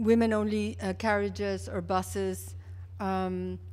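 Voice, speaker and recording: With a very deep, low pitch and monotone, flat intonation, a woman speaks in audible room echo. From Mexico (Mexico City). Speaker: public health official. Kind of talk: keynote lecture. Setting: conference stage with audience. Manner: halting, many fillers and restarts.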